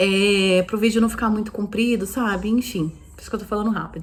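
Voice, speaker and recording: A woman speaks with monotone, flat intonation. Her pitch is medium. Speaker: vlogger mother. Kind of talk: casual vlog monologue. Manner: fast.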